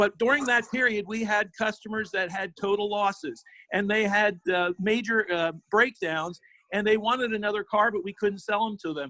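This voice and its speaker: At a moderate pace, a man with an American accent projects a raised, high-pitched voice with a bright, sharp tone and ordinary pitch variation, the sound dry and close with no echo. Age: 60s. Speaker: car dealership owner. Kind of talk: public comment.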